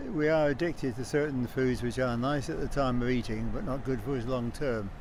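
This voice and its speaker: This man talks with audible room echo around his voice. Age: old. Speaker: interviewee in street interview. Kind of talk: street interview.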